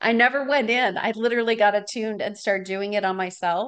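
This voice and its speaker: A woman's unremarkable speaking voice with an American accent, medium pitch and ordinary pitch variation, over a quiet background. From Wisconsin, US Midwest. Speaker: podcast host. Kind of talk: casual interview chat.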